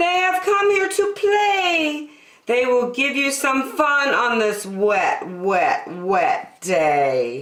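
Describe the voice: A woman puts on a character voice, fairly high-pitched and fairly bright, with lively intonation, speaking very slowly with few pauses.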